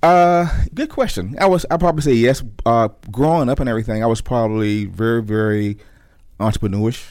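A man speaks with an American accent at a fairly quick pace. He has a normal speaking voice at medium pitch with lively intonation. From Virginia, US (Norfolk). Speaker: defense contractor CEO, army veteran. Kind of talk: radio interview.

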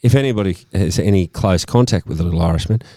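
With an Australian accent, a man speaks at a fairly low pitch with lively intonation. The recording is very clean, with a silent background. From Sydney, eastern suburbs. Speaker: podcast host. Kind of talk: casual chat.

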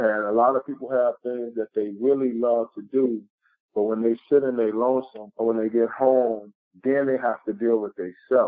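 Speaking with an American accent, a man uses medium pitch and a moderate pace. His intonation stays flat and monotone. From Chicago West Side. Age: 30s. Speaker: motivational speaker. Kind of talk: interview.

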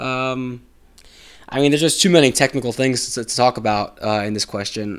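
A man with an American accent has an ordinary speaking voice at medium pitch. He talks at a fairly quick pace with ordinary pitch variation. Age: 30s. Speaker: podcast host. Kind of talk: solo casual podcast monologue. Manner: casual, many filler words.

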